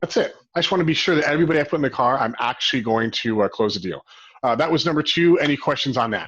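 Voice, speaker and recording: Very fast and lively in intonation, a man with an American accent speaks at a fairly high pitch. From Arizona (Phoenix). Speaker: real estate broker and company president. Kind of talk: webinar training presentation. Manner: animated.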